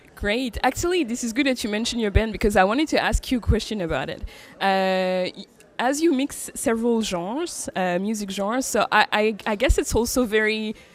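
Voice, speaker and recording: In a French accent, a woman talks at a fairly quick pace with a fairly high pitch and lively intonation. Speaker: interviewer. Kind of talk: interview. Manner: halting.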